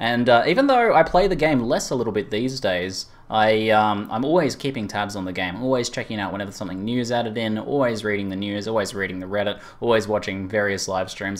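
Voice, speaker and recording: Speaking at a very fast pace, a man with an Australian accent uses a fairly low pitch and ordinary pitch variation. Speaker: YouTuber and gaming streamer. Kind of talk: casual podcast chat.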